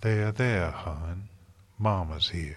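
A man puts on a character voice in a Southern US accent, the accent part of the act. His pitch is low and his pace very slow. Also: ordinary pitch variation. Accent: put-on rural American Southern.

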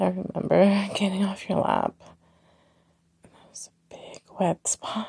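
A woman's dark, mellow, medium-pitched voice with a husky, rough edge and vocal fry, fairly even intonation, and a fairly slow pace.

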